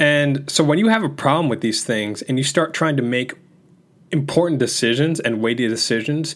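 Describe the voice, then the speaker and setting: The recording is very clean, with a silent background. A man with an unremarkable speaking voice talks at a fairly high pitch with ordinary pitch variation. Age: 20s. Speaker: self-improvement podcast host. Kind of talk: solo podcast monologue. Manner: casual, conversational.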